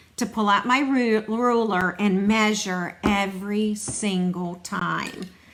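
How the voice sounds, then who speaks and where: A woman talks over noticeable background noise. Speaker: stamping demonstrator. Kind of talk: live craft demo. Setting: online livestream. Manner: casual, chatty.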